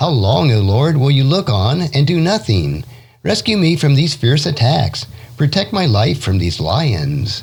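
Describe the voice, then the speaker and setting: With very wide pitch swings but very even loudness, a man talks at a fairly slow pace with vocal fry. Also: medium pitch for a man. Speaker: podcast host, Bible devotional teacher. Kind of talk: scripture reading.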